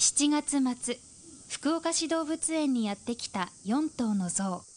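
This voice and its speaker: This woman's voice sits high, with lively intonation and a fairly slow pace. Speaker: news narrator. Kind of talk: TV news narration.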